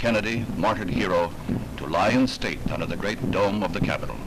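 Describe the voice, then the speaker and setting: Noticeable background noise runs throughout. The man talks at a fairly quick pace. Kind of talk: newsreel narration. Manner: solemn.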